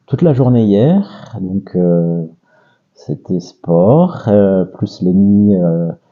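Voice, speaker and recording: A man's fairly low voice at a very slow pace, with ordinary pitch variation. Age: 40s. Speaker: father of twins, interviewee. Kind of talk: casual interview. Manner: hesitant, many fillers.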